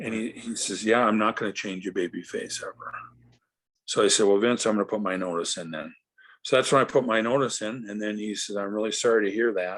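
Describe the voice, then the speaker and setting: A man with an unremarkable speaking voice, fairly low in pitch, talks at a fairly quick pace with fairly even intonation over a quiet background. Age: 60s. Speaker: retired pro wrestler. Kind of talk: interview.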